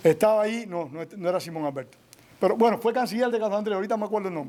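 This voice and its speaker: A man's voice with a high pitch. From Cuba. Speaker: author and historian. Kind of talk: public Q&A at a book presentation.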